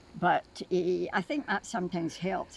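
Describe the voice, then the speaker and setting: A woman talks at a fairly slow pace and medium pitch. Vocal fry runs through her speech. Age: 80s+. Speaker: retired nurse. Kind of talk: interview answer.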